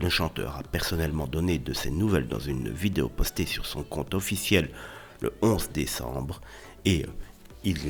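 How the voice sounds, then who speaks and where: Music plays in the background as a man speaks with a very deep, low pitch and lively intonation. Long, frequent pauses break up his speech. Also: moderate pace. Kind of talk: celebrity news narration. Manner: casual.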